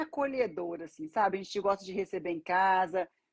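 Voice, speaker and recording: A woman's medium-pitched voice with lively intonation comes through in a dry, close sound with no echo. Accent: strong Minas Gerais. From Brazil, Minas Gerais (Belo Horizonte). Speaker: banker and financial mentor. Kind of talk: casual live-stream interview.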